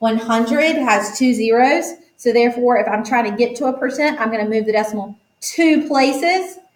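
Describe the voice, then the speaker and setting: A woman's high-pitched, animated voice at a moderate pace, with audible room echo. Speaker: math teacher. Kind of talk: tutorial.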